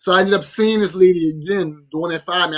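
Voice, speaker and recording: Speaking in a New Orleans accent, a man with a high pitch talks at a moderate pace in an animated tone. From New Orleans, Louisiana. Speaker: podcast co-host. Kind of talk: casual chat.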